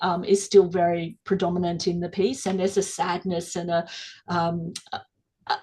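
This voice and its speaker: Somewhat breathy and medium in pitch, a woman speaks with an Australian accent. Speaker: gallery director. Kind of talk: live-streamed interview. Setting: live stream. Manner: fast.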